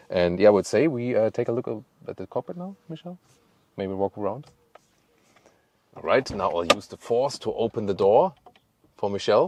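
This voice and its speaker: A man with a German accent at a medium pitch, fairly quick pace with long, frequent pauses, very wide pitch swings, big swings in loudness, and a dry, close sound with no echo. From Germany. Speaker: car reviewer. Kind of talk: product review. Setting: on location with camera operator. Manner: playful, joking.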